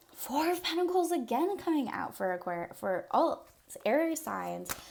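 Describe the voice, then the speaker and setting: A woman speaks at a high pitch with very wide pitch swings over noticeable background noise. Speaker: tarot reader. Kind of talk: casual tarot reading to camera. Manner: fast; casual, many fillers.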